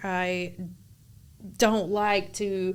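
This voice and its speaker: With a Southern US accent, a woman speaks at a medium pitch. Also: very clean recording, silent background. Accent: country Southern. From North Carolina, Harnett County. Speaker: real estate agent. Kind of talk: casual chat.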